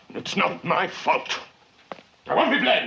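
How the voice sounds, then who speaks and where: A man bellows loudly in a put-on character voice at a moderate pace. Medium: voice reel. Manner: loud, bellowing, passionate.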